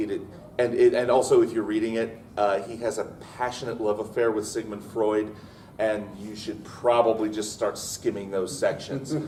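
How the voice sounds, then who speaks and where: Over noticeable background noise and audible room echo, a man speaks at a moderate pace in a monotone, flat intonation. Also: medium pitch for a man. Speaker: writing panelist. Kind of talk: convention panel talk. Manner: loud.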